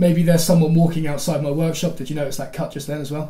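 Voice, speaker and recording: The intonation stays monotone and flat, with audible room echo. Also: man. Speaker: woodworking video creator. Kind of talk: screen-recorded tutorial. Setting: workshop. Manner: casual, thinking aloud; stutters, messes up sentences.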